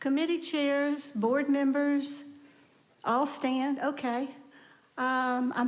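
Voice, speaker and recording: Audible room echo surrounds a woman speaking at a very slow pace with a high pitch. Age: 70s. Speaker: congregation lay leader. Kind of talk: church announcements. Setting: church service. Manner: conversational.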